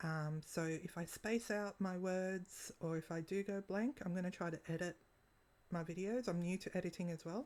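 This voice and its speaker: A woman with an Australian accent, very even loudness and ordinary pitch variation. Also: medium pitch for a woman, moderate pace. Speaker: vlogger. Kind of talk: casual vlog monologue. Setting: at home. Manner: halting, with long pauses.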